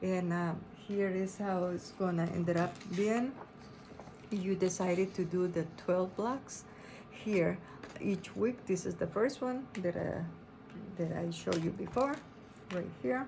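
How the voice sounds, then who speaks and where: With audible room echo, a woman with a non-native accent speaks at a fairly slow pace and medium pitch, ordinary in pitch variation and pausing long and often. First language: not English. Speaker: quilting and embroidery pattern designer. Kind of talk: tutorial. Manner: halting, with many fillers.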